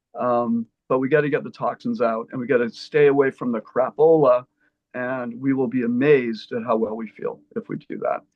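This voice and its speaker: Speaking at a moderate pace, a man uses a normal speaking voice with fairly even intonation. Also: medium pitch for a man. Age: 60s. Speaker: naturopathic doctor. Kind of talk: panel discussion.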